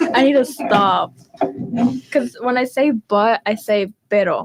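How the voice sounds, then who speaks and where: A woman with a Spanish accent is heard in a dry, close sound with no echo. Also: fairly high pitch for a woman, ordinary pitch variation, fairly slow pace, very even loudness. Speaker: student radio host. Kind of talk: casual chat.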